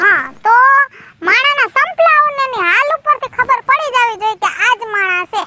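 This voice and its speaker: Delivered at a moderate pace, this put-on character voice has lively intonation and a dry, close sound with no echo. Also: woman, extremely high pitch for a woman. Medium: comedy sketch. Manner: teasing, quick-witted.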